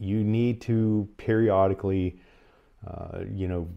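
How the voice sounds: Vocal fry runs through slow delivery with a fairly even intonation. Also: man, fairly low pitch for a man.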